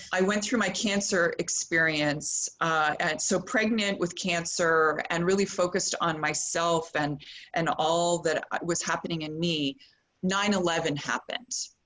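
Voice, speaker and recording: A woman's unremarkable speaking voice in a Canadian accent, fairly low in pitch, with ordinary pitch variation and a fairly slow pace. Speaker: yoga teacher. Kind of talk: yoga class talk.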